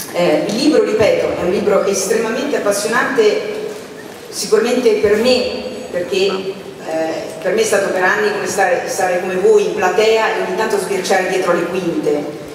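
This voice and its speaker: A woman at a moderate pace with ordinary pitch variation, in strong room echo and noticeable background noise. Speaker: moderator presenting a book. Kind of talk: panel introduction. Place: stage.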